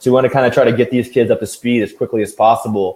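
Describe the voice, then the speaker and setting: Talking at a very fast pace, a man with an American accent uses a medium pitch and monotone, flat intonation. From US Midwest, St. Louis, Missouri. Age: 20s. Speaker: football coach and player. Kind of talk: interview. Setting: live video interview.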